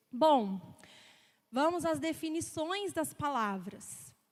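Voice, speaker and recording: A woman speaks at a very slow pace in a high voice, with lively intonation. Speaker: preacher. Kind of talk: sermon.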